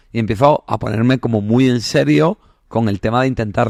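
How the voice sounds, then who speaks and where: At a moderate pace, a man with a medium pitch speaks in an animated tone with lively intonation, the sound dry and close with no echo. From southern Spain, Andalusia (Granada). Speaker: psychologist. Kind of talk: casual interview chat. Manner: animated, colloquial.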